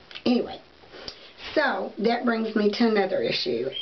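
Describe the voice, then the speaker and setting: Someone with an American accent speaks at a moderate pace amid noticeable background noise and audible room echo. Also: woman. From US South. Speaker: beauty and wig vlogger. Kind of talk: casual vlog talk to camera. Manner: hesitant, many fillers.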